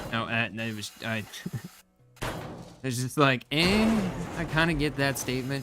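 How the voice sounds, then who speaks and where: With noticeable background noise behind him, a man speaks at a medium pitch with lively intonation. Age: 40s. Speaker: gaming streamer. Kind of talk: live gameplay stream chat. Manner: rambling, halting with false starts.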